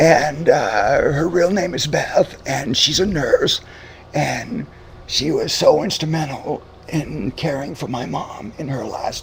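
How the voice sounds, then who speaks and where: A man with an American accent speaks at a very slow pace, his loudness swinging widely against noticeable background noise. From Boston area, Massachusetts. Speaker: radio show host. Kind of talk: casual chat.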